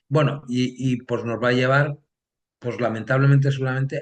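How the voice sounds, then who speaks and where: Fairly quick and fairly even in intonation, a man delivers his words. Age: 60s. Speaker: political science professor. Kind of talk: interview. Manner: hesitant, many fillers.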